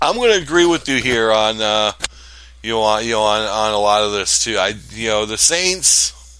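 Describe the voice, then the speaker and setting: A man's fairly low, bright and sharp voice at a moderate pace. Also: ordinary pitch variation. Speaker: sports radio co-host. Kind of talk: casual sports talk, analysis. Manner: conversational, hesitant with filler words.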